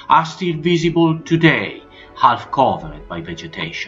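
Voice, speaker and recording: Music plays in the background as a man with a fairly high voice speaks at a moderate pace. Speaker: history narrator. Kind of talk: documentary narration.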